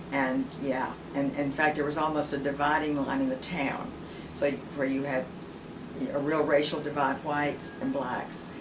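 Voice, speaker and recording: A woman speaks at a moderate pace in a very deep, low voice with flat, monotone intonation, while audible room echo and noticeable background noise fill the recording. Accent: Southern US. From US South, rural Tennessee. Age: 70s. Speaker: interviewee. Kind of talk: oral history interview. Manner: halting, many fillers and repeats.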